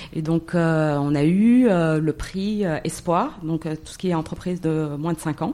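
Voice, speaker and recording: Very slow speech from a woman, fairly low in pitch with a dark, mellow tone and ordinary pitch variation. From Morocco. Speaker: entrepreneur. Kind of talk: interview.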